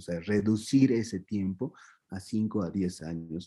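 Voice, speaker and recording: A man's dark, mellow, fairly low voice at a very slow pace, with ordinary pitch variation. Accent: Andean. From Peru, Andean highlands (Q'ero community near Cusco). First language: Quechua (speaking Spanish). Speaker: spiritual teacher of Andean tradition. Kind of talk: interview. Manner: halting, many fillers and restarts.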